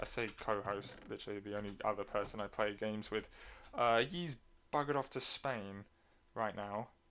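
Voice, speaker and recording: Speaking at a moderate pace with an English accent, a man uses ordinary pitch variation. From England. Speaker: gaming streamer. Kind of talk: casual chat. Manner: halting, many fillers.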